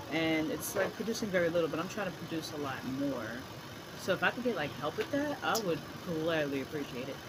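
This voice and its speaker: A woman speaks at a fairly quick pace with lively intonation. Noticeable background noise and audible room echo surround her voice. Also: fairly low pitch for a woman. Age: 30s. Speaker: vlogger sharing birth story. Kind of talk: casual vlog monologue. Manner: halting, stuttering.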